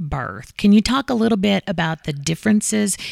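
A woman with an Appalachian accent, recorded dry and close with no echo, on a very clean recording with a silent background. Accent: Appalachian Kentucky. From Eastern Kentucky, US. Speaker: podcast host. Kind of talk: casual interview. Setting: studio.

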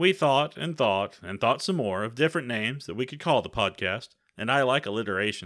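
A man talks at a fairly quick pace with an American accent, lively intonation, and a normal speaking voice. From Texas. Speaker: podcast co-host. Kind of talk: casual podcast intro. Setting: home basement recording.

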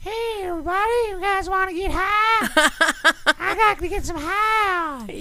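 Someone talks in a put-on character voice that is squeaky and extremely high. The pace is moderate, with clear background noise. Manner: cheerful, goofy.

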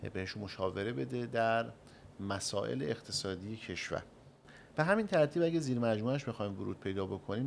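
A man's fairly low-pitched, ordinary speaking voice with lively intonation. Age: young. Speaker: chamber of commerce head. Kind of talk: radio interview. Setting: studio.

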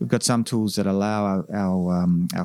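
With an Australian accent, a man with a fairly low pitch talks at a fairly quick pace and fairly even intonation, in a dry, close sound with no echo. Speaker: tech company founder and CEO. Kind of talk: interview. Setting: conference venue.

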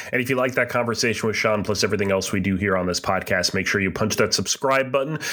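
Over noticeable background noise, a man with a fairly low pitch talks at a very fast pace with hardly any pauses, very even loudness and ordinary pitch variation. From southern New Hampshire. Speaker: podcast co-host. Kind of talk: casual chat.

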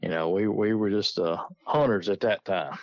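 A man in a Southern US accent. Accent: Southern US rural. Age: 50s. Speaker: coon hunter. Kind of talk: casual chat.

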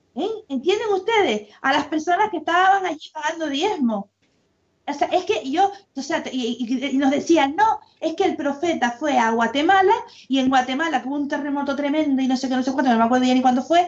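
Talking at a fairly quick pace, a woman uses a high pitch and lively intonation. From Canary Islands, Las Palmas province. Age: 50s. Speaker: former church member. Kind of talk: casual chat.

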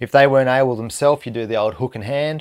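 Over a silent background in a very clean recording, a man talks at a fairly quick pace with an Australian accent. His intonation stays fairly even. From Tasmania, Australia. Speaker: fly fishing guide. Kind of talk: casual chat.

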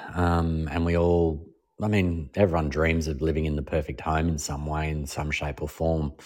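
With an Australian accent, a man speaks at a moderate pace in a very deep, low pitch with ordinary pitch variation, in a very clean recording with a silent background. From Melbourne, Australia. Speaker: TV and radio host, former comedian. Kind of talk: casual interview chat.

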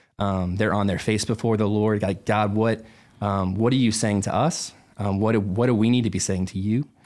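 An unremarkable speaking voice from a man, fairly low-pitched, moderately paced and fairly even in intonation, on a very clean recording with a silent background. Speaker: worship pastor. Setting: studio.

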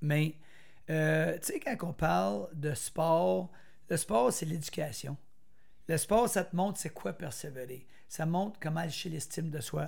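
Speaking at a very slow pace with long, frequent pauses, a man with a fairly high pitch uses lively intonation. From Quebec, Argenteuil (Brownsburg). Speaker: former runner and motivational speaker. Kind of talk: interview, personal life story.

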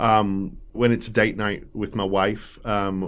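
This man has a fairly low pitch and an English accent, with fairly even intonation. The recording is very clean, with a silent background. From England. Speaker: shop owner. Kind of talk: interview.

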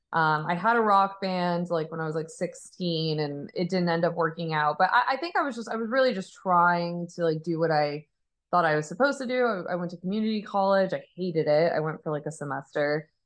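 A plain, everyday voice from a woman with an American accent, fairly low in pitch, with ordinary pitch variation and a fairly quick pace. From Arizona, US. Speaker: musician. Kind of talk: casual chat.

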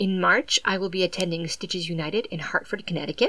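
A woman with an American accent speaks very fast at a medium pitch. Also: ordinary pitch variation. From southeastern Massachusetts. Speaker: podcast host. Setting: home recording.

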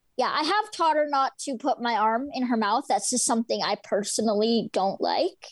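At a moderate pace with hardly any pauses, a woman speaks in a high pitch with lively intonation and very even loudness in a dry, close sound with no echo. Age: 20s. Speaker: guide dog user. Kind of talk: interview.

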